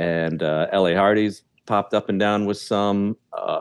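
In a normal speaking voice, a man talks fairly low in pitch, his intonation fairly even. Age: 40s. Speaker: stand-up comedian and show producer. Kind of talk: casual interview chat.

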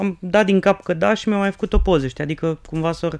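A man speaking at a moderate pace. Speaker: podcast co-host. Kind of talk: casual chat.

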